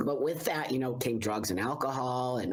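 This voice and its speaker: Noticeable background noise sits behind this recording. A man talks at a moderate pace with ordinary pitch variation. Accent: American. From US West Coast, Los Angeles San Fernando Valley. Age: 60s. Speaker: public speaker and entrepreneur. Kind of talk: interview chat.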